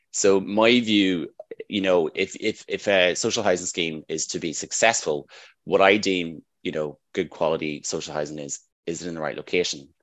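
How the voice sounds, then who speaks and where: A man with a Northern Irish accent talks with fairly even intonation. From Northern Ireland. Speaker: housing development manager. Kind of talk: interview.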